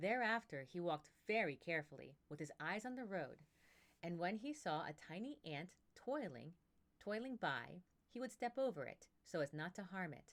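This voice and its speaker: A woman with a fairly low pitch speaks at a moderate pace, her pitch swinging very widely. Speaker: voice actor practicing narration. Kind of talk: reading aloud; casual chat.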